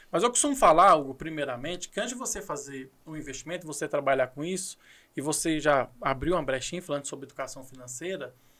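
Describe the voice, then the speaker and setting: Bright and sharp in tone, a man's fairly high voice races at a very fast pace with ordinary pitch variation on a very clean recording with a silent background. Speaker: accounting teacher and channel host. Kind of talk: podcast conversation about investing. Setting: recording studio.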